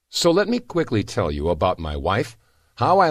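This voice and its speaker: A man with vocal fry speaks at a moderate pace. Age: 60s. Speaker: product promoter. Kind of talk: sales pitch. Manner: animated.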